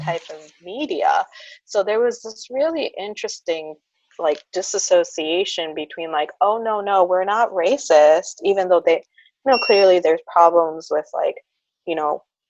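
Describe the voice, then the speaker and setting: A woman with an American accent speaks at medium pitch in an unremarkable speaking voice, with lively intonation and big swings in loudness. The sound is dry and close with no echo. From United States. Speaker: speech-language pathologist. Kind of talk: interview answer. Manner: casual, chatty.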